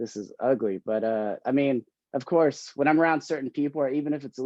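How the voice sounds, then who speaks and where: Mumbling, a man talks at a moderate pace. His pitch varies in an ordinary way. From Oklahoma, US. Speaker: stand-up comedian. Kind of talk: casual interview. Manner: halting, stuttering.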